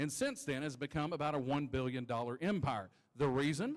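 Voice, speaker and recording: A man with a normal speaking voice pitched fairly high talks at a moderate pace, his pitch varying in an ordinary way. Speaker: auctioneer (championship finalist). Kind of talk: auctioneer spoken lot description and sales pitch. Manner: conversational, upbeat.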